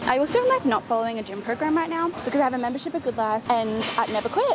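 A woman's very fast speech, dry with no echo, amid noticeable background noise. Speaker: fitness vlogger. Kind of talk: casual vlog chat. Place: gym. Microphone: lapel.

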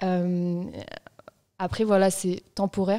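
Against a quiet background, the voice has a dark, mellow tone. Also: woman. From Marseille, southern France. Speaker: journalist. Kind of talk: casual chat. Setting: studio. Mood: relaxed, reflective. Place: studio. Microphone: studio mic.

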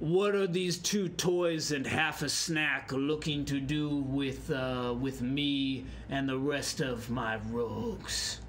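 This man puts on a character voice, pitched fairly high and delivered at a very slow pace with hardly any pauses. Background noise is clearly audible. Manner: speaks alien gibberish, menacing.

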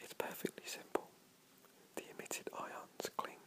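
Someone whispers in a soothing tone at a moderate pace over noticeable background noise. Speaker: whisper reader / video creator. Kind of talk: whisper reading of comedic dialogue. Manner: whispered, soft and soothing.

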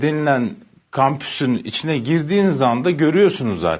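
A man speaks with vocal fry and lively intonation at a fairly high pitch. The background is quiet. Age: 50s. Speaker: journalist. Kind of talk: TV panel discussion. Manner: hesitant, many fillers.

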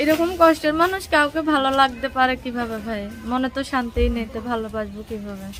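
A high-pitched woman's voice with ordinary pitch variation, over noticeable background noise. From Sylhet, Bangladesh. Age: young. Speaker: domestic worker. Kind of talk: street interview.

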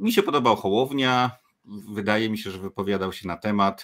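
Against a quiet background, a man talks at a moderate pace in a fairly low pitch with ordinary pitch variation. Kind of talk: panel discussion. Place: home room.

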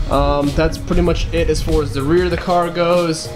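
A man talks with clear music audible behind him. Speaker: car hobbyist vlogger. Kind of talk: casual vlog chat. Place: garage. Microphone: phone near.

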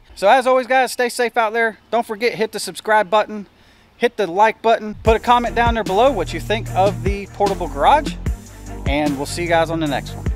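Faint music in the background behind a dry sound with no echo. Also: man, high pitch for a man, ordinary pitch variation. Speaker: vehicle hobbyist vlogger. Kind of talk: casual vlog chat. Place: street. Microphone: phone near.

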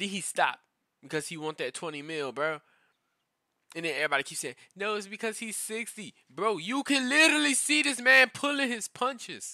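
A man's raised, projected, high voice, bright, sharp and animated, with very wide pitch swings, big swings in loudness and a fairly quick pace over a quiet background. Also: dry sound with no echo. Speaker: YouTube reaction creator. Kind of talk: casual reaction rant, with fight commentary clips. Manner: animated, ranting, slangy, repeats 'bro'; frustrated, conversational, storytelling. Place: home room. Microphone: headset.

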